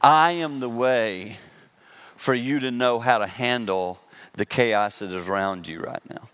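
Speaking with a Southern US accent, a man at medium pitch shows ordinary pitch variation and big swings in loudness. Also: fairly slow pace. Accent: Southern American. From US South. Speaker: pastor. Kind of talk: sermon.

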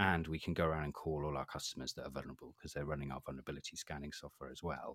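Very deep, low-pitched male voice with vocal fry and a Welsh accent, monotone and flat, very fast, dry and close with no echo. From Wales. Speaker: cybersecurity specialist. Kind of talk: casual interview.

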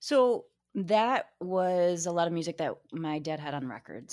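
On a very clean recording with a silent background, a woman with an unremarkable speaking voice and an American accent speaks at a moderate pace, fairly low in pitch with lively intonation. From Michigan. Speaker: podcast guest. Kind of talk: casual chat.

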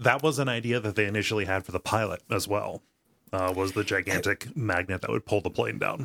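A man's fairly quick speech in a bright, sharp tone, on a very clean recording with a silent background. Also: ordinary pitch variation. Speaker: podcast host.

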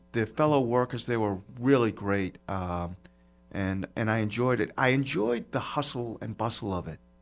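In a very clean recording with a silent background, a man with a Boston accent speaks at a medium pitch with ordinary pitch variation. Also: moderate pace. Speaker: podcast host. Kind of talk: casual chat. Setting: studio. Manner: jokey, animated.

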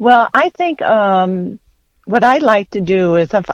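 A woman speaks in an American accent, an ordinary speaking voice with ordinary pitch variation. Her pace is fairly slow, and the sound is dry and close, with no echo. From west central Minnesota. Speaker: journalist and author. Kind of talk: interview.

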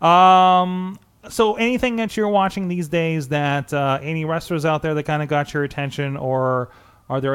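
Man with a normal speaking voice, moderate pace and ordinary pitch variation. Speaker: wrestling podcast host. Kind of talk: casual interview. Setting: studio, streamed live.

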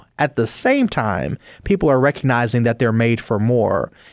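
A man with an American accent talks at a fairly quick pace and a medium pitch in a normal speaking voice. The recording is very clean, with a silent background and a dry, close sound with no echo. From Chicago South Side. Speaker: business professor and pastor. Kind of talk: radio interview. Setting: studio.

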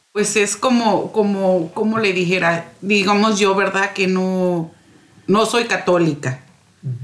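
The delivery comes at a fairly slow pace. Pitch variation is ordinary. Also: woman. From Morelos, Mexico. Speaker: parish community secretary, guest. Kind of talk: radio interview.

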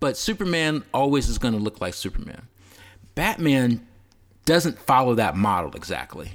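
A man at a medium pitch talks at a moderate pace with vocal fry and very wide pitch swings. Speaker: podcast co-host. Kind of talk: casual chat about movies and TV.

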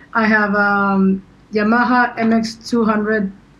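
A woman's fairly high voice, very slow and in a flat monotone. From Paraguay. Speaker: music producer and DJ. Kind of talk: casual chat.

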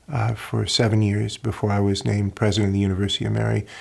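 Somewhat breathy and fairly low, a man's voice moves at a fairly quick pace with monotone, flat intonation. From rural North Dakota. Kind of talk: casual interview conversation.

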